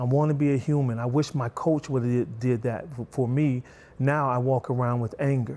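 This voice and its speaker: On a very clean recording with a silent background, a man speaks at medium pitch and moderate pace, his tone dark and mellow and his intonation fairly even. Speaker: martial arts instructor and author. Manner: soft-spoken and gentle.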